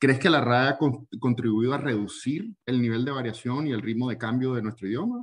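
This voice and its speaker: The speech runs at a moderate pace with ordinary pitch variation and hardly any pauses. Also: man, medium pitch for a man. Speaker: book podcast host. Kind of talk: interview.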